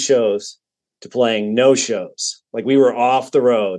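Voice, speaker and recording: A man with a General American accent speaks at a very slow pace. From Colorado, Denver area. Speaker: musician and podcast guest. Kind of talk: casual chat.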